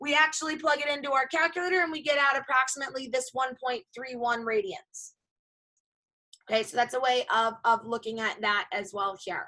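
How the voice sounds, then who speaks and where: A woman's raised, projected voice, bright and sharp, high in pitch, with ordinary pitch variation and a fairly quick pace. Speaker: high school math teacher. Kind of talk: lecture. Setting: video call.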